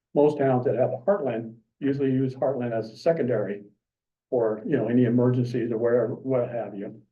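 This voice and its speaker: A man with an American accent talks at a fairly quick pace, sounding somewhat breathy. Audible room echo surrounds his voice. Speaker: member of the public at a city council meeting. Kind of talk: public comment. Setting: city commission meeting. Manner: halting, many fillers.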